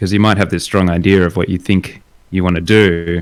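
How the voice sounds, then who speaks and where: In an Australian accent, a man speaks at a moderate pace. His pitch is very deep and low. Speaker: illustrator and concept artist. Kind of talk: casual chat. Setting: live stream while host paints.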